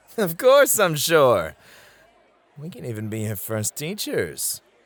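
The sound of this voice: Putting on a character voice, a man speaks slowly at a fairly high pitch with very wide pitch swings and a fairly bright tone.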